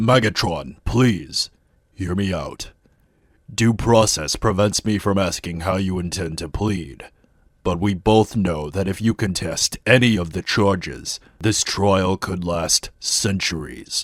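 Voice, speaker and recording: A man performs a cartoonish character voice at a very deep, low pitch and a fairly slow pace, on a very clean recording with a silent background. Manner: measured, earnest.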